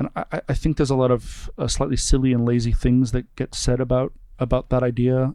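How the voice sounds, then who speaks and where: Dark and mellow in tone, a man talks with an American accent at a medium pitch. His pace is fairly quick. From US Northeast, suburb of Boston. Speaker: opera company executive. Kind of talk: interview. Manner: halting.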